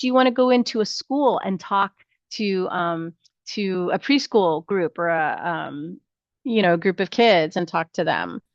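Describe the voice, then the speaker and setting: Fairly slow pace and lively intonation, with a dry, close sound, no echo and a quiet background. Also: woman, medium pitch for a woman. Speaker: nursing instructor. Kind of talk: online class lecture. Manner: hesitant, many fillers.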